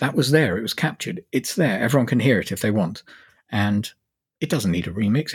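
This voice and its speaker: On a very clean recording with a silent background and a dry, close sound with no echo, a man with a fairly low voice talks at a fairly quick pace with lively intonation. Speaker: electronic musician. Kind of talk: casual chat. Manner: halting.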